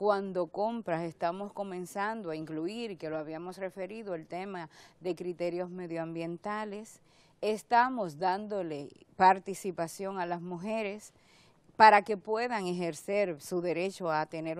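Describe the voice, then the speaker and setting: A woman's fairly slow, fairly even delivery in a dry sound with no echo. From Dominican Republic. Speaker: government agency director; public guest. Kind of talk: TV interview; interview answer. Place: studio. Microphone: lapel.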